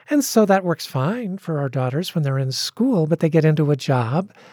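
Somewhat breathy, dark and mellow tone with very wide pitch swings, in a dry, close sound with no echo. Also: woman. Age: 60s. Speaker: pastor and author. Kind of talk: interview. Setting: radio studio.

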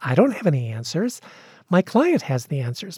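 A woman's somewhat breathy voice with a dark, mellow tone, moderate pace, and dry, close sound with no echo on a very clean recording with a silent background. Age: 60s. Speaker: pastor and author. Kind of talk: interview. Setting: radio studio.

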